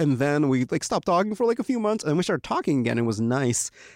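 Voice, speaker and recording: Recorded with a dry, close sound and no echo, a man with a fairly high pitch speaks with an American accent. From Ukraine, raised in the US from age five. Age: 20s. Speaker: comedy writer. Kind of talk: casual chat. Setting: studio.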